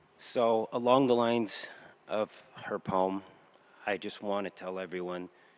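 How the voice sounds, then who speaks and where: Over noticeable background noise, a man with a fairly low pitch speaks at a fairly slow pace with fairly even intonation and long, frequent pauses. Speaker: bereaved father giving a eulogy. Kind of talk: memorial speech.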